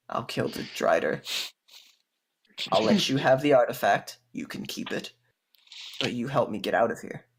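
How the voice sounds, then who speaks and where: Using a put-on character voice, a man sounds raspy. He keeps a moderate pace with long, frequent pauses. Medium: actual play. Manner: calm, superior, faintly menacing.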